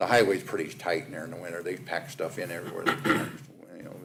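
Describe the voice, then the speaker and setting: A man at a very fast pace. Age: 60s. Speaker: county facilities maintenance manager. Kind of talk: budget presentation. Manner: casual, hesitant with fillers.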